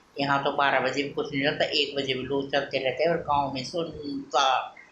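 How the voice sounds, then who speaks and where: Against noticeable background noise and audible room echo, a woman speaks at a very deep, low pitch in a monotone, flat intonation. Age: 50s. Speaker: vlogger. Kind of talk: casual devotional talk. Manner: halting, with fillers.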